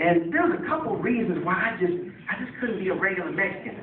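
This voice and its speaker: A man with an American accent and very wide pitch swings, amid noticeable background noise and audible room echo. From San Francisco Bay Area. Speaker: stand-up comedian. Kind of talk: stand-up. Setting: stage with audience.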